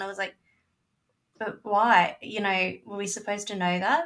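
A woman's ordinary speaking voice at medium pitch and a moderate pace. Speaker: guest film discussant.

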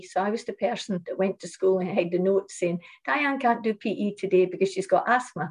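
A woman with a Shetland accent at a fairly quick pace. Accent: Shetland Scottish. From Shetland, Scotland. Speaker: fitness lecturer and business founder. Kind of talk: interview.

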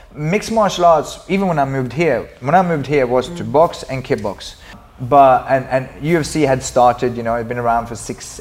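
At a moderate pace, a man speaks in a medium pitch with ordinary pitch variation, noticeable background noise behind him. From Sweden. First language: Swedish. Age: 40s. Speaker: martial artist and activist. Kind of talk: interview.

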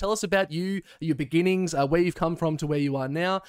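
A man with an Australian accent talks at a fairly quick pace in a high pitch, the sound dry and close with no echo. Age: 20s. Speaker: podcast host and streamer. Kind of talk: casual chat.

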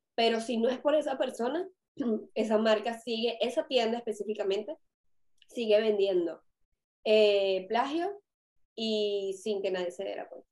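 A woman with a Venezuelan accent speaks fairly slowly at a fairly high pitch with ordinary pitch variation. Her loudness swings a lot, and she makes long, frequent pauses. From Venezuela (Caracas). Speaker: fashion consultant and podcast co-host. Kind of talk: casual chat.

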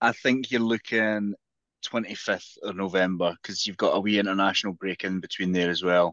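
In a Scottish accent, a man with a fairly low voice speaks at a moderate pace with fairly even intonation. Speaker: football podcast co-host. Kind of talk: casual chat.

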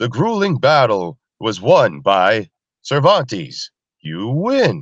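Putting on a robotic character voice, a man speaks very slowly at a medium pitch, his pitch swinging very widely. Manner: dramatic.

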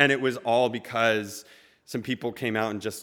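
A man with an ordinary speaking voice and fairly even intonation is heard on a very clean recording with a silent background. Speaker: spoken word poet and storyteller. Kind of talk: live personal storytelling. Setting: stage with audience.

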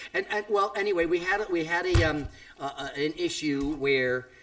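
A man is talking. Noticeable background noise runs beneath his voice. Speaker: podcast host, former radio DJ. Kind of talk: casual chat. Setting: home studio.

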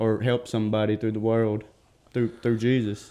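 The speaker is a man. He has a Southern US accent. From northeast Mississippi. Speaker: addiction recovery program graduate. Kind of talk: radio interview. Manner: halting.

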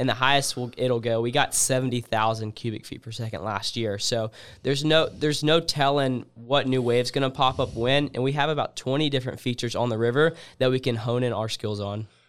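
A man with an American accent and an ordinary speaking voice, medium in pitch, at a fairly quick pace with fairly even intonation, on a very clean recording with a silent background. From US South, Alabama. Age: young. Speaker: freestyle kayaker. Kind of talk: casual interview.

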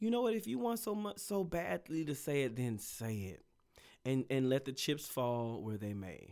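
A man speaks loudly at medium pitch and a moderate pace. His pitch swings very widely on a very clean recording with a silent background. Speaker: podcast co-host. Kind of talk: casual chat.

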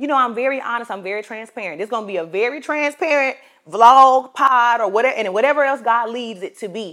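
The voice has an animated tone and lively intonation. It moves at a fairly quick pace with hardly any pauses. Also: woman. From US South, South Carolina. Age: 20s. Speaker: podcast host and ministry coach. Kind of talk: casual faith-based monologue.

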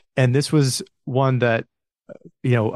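With an ordinary speaking voice, a man talks fairly quickly and with fairly even intonation, the sound dry and close with no echo against a quiet background. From US Midwest. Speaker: podcast host. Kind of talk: casual interview.

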